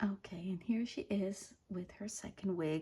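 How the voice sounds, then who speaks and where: Her voice is dark and mellow with vocal fry, as this woman speaks at a fairly low pitch with fairly even intonation. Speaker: doll collector YouTuber. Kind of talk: unboxing review. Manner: halting, many fillers; whispering.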